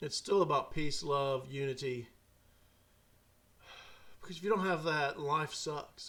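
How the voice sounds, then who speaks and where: In a Southern US accent, a man talks at a fairly high pitch with ordinary pitch variation. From Mississippi. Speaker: podcast host and storyteller. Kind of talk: casual talk to camera.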